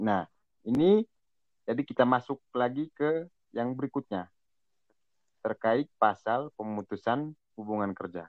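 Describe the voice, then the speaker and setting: A man's medium-pitched voice, fairly slow, with long, frequent pauses and lively intonation. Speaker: economics student. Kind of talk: student group discussion.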